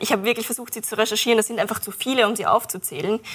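A woman speaks in an ordinary speaking voice, fairly high in pitch with fairly even intonation. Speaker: climate activist. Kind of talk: panel discussion.

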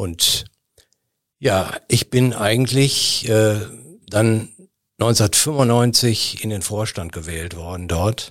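A man talks at a very slow pace, leaving long, frequent pauses. His pitch varies in an ordinary way, and the recording is very clean with a silent background. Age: 60s. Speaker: charity association chairman. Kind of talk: interview. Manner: hesitant, frequent fillers.

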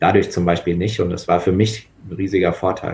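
This man has a very deep, low pitch and a somewhat breathy sound, speaking in a flat monotone at a moderate pace. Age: 20s. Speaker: volunteer rugby coach. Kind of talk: casual chat.

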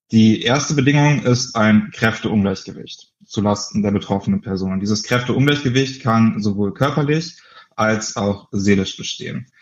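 With ordinary pitch variation and a moderate pace, a man talks in an ordinary speaking voice. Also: medium pitch for a man. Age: 20s. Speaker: founder of an anti-bullying association, social sciences student. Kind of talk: interview.

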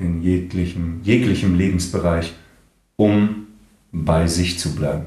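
With a very deep, low pitch, a man talks very slowly and pauses long and often, his tone dark, mellow and somewhat breathy, his intonation fairly even, and room echo audible around him. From northern Germany, Kiel. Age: 40s. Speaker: voice actor and speech coach, breathwork therapist. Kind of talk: casual interview chat.

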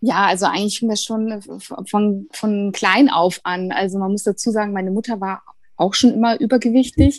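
This woman's pitch sits at a medium level and her pace is moderate. Fairly even intonation marks her delivery. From Bavaria. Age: 40s. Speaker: former coaching program participant. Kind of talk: interview. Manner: hesitant, many fillers.

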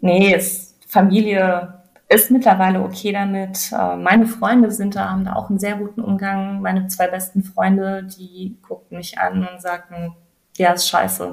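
A woman talks fairly slowly at a medium pitch, her intonation monotone and flat. Her loudness swings widely. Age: 30s. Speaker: person with multiple sclerosis. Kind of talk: interview.

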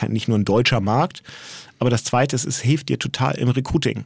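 Here a man speaks in a normal speaking voice. His pitch sits in the medium range, with ordinary variation. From Hamburg, northern Germany. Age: 40s. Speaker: agency co-founder. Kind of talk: interview conversation. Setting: studio.

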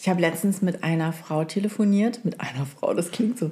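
A woman talks at a fairly quick pace in a fairly low voice. Her delivery is somewhat breathy. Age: 40s. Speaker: podcast co-host. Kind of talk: casual chat.

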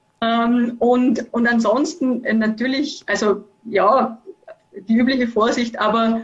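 Here is a woman with an unremarkable speaking voice. Her pitch sits fairly high and her intonation stays fairly even. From Austria, Vorarlberg. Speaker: university professor, network expert. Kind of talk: expert interview. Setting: video call.

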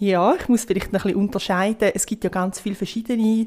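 A woman's fairly high-pitched voice comes through in a very clean recording with a silent background. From Switzerland, near Rapperswil on Lake Zurich. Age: 30s. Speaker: astrologer. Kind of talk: interview, explaining.

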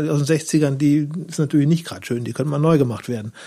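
Somewhat breathy and dark, mellow in tone, a man speaks with a fairly high pitch and fairly even intonation. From western Germany, Lower Rhine and Münsterland. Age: 40s. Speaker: newspaper reporter. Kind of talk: casual interview chat.

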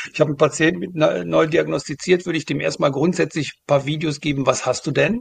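A man talks with a fairly high pitch and some vocal fry. His pitch varies in an ordinary way. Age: 50s. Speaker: start-up founder, former pharma manager. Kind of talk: interview. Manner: hesitant, many fillers.

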